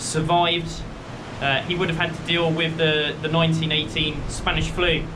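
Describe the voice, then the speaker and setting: A man speaks loudly in a high, monotone, flat voice. Noticeable background noise and audible room echo surround him. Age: 20s. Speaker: walking vlogger. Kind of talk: casual vlog narration. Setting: outdoors.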